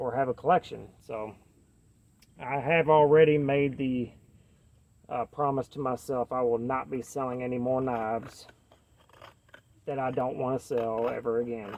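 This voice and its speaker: In a Kentucky accent, a man with medium pitch talks at a moderate pace. He leaves long, frequent pauses. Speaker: knife reviewer. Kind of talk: casual chat. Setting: outdoors. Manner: casual, many fillers.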